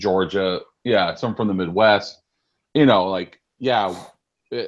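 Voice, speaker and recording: Fairly low in pitch with ordinary variation, a man with a Californian accent speaks at a fairly slow pace. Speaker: podcast host. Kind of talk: casual chat.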